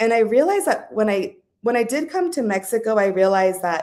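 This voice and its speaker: Here a woman with an American accent speaks at a fairly quick pace. Her fairly high voice has a dark, mellow tone and lively intonation. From Southern California. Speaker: guest on a talk show. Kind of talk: casual interview chat.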